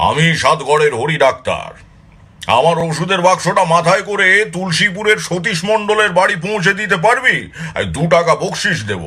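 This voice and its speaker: A man's gruff, high-pitched put-on character voice at a moderate pace. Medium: read story. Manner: gruff, scolding.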